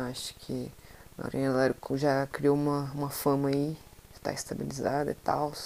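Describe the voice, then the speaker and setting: Noticeable noise fills the background. A woman with a very deep, low pitch speaks at a fairly slow pace. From Brazil, Centre-West. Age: 20s. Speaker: podcaster. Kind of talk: solo monologue podcast. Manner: casual.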